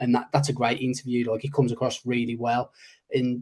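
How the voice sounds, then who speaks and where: A man's voice comes through with a dark, mellow tone. It is somewhat breathy. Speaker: podcast co-host. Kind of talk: casual chat. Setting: live stream.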